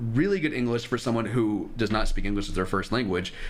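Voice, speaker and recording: The pitch swings very widely. Room echo can be heard. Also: man. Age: 20s. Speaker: streamer giving dating advice. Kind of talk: live stream advice chat with callers. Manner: casual, blunt.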